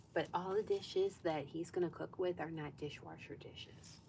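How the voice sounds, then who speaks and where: A soft-spoken woman at a moderate pace. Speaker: sewing vlogger. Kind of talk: live stream sewing chat. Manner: casual, chatty.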